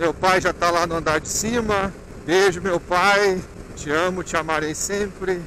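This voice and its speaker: The sound is dry with no echo, though noticeable background noise is present. Speech moves at a fairly slow pace with fairly even intonation. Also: man. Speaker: motorcycle rider vlogger. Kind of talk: casual vlog chat. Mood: reflective, tender. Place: motorbike. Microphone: helmet.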